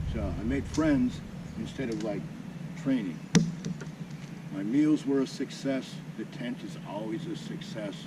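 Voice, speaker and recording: A man with a fairly high voice speaks at a fairly slow pace with lively intonation, leaving long, frequent pauses, and there is audible room echo. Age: 60s. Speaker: motorcycle camping vlogger; Marine veteran. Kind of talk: casual vlog talk to camera. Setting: outdoors at campsite.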